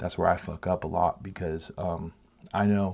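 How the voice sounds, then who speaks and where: The voice is quiet and somewhat breathy, with a dark, mellow tone. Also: man. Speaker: painting vlogger. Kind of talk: casual monologue while painting. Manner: halting.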